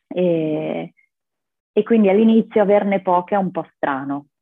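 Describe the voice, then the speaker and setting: A woman is speaking. Her pitch is fairly low and varies in an ordinary way. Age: 20s. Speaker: yoga practitioner and rock climber. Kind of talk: interview conversation.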